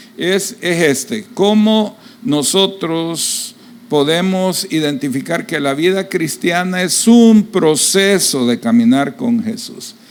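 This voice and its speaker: Over noticeable background noise, a man speaks at a very slow pace. His pitch is high and his intonation lively. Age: 60s. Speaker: pastor. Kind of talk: sermon.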